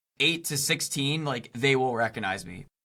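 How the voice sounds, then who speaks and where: A loud, bright, sharp tone with ordinary pitch variation, on a very clean recording with a silent background. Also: man. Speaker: YouTuber. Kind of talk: casual interview chat.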